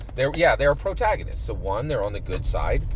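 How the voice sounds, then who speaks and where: A man speaks at a fairly quick pace with an American accent. Noticeable background noise runs underneath. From Pennsylvania, USA. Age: 50s. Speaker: dungeon master. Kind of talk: casual talk to camera. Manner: enthusiastic, hesitant with fillers.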